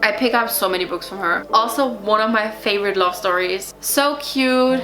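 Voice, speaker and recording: A woman with a non-native accent speaks at a fairly slow pace with lively intonation. Music plays in the background, and there is audible room echo. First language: not English. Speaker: book reviewer. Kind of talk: casual book review vlog. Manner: casual, filler-heavy.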